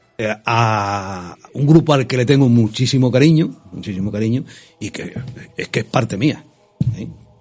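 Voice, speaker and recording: A man's medium-pitched voice with big swings in loudness, music playing behind it. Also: ordinary pitch variation, fairly slow pace. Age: 70s. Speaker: folk choir president. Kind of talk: radio interview. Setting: radio studio. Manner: halting.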